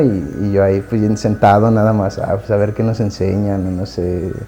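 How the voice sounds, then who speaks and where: A man talks with a Mexican accent. Music plays in the background. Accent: Mexican Spanish (Jalisco). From Mexico, Guadalajara. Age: 20s. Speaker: devotee sharing conversion story. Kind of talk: personal testimony. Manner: halting, many fillers and repetitions.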